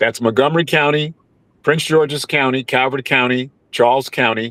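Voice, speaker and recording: With an American accent, this voice has fairly even intonation and a dry, close sound with no echo. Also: man. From New York (Mount Vernon, near the Bronx). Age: 60s. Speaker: congressional candidate. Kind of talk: panel interview.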